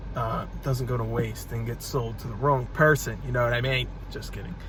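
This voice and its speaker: Noticeable background noise fills the recording as a man speaks. His moderate pace comes through audible room echo. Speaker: reseller YouTuber. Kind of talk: casual vlog. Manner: stuttering, halting.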